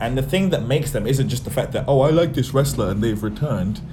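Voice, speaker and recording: A man with a medium-pitched voice and ordinary pitch variation talks while music plays in the background. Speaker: professional wrestler. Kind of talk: casual chat. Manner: soft-spoken.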